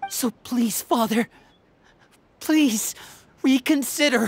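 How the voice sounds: In a put-on character voice, a woman goes at a slow pace with a fairly high pitch, ordinary pitch variation and a slightly husky edge.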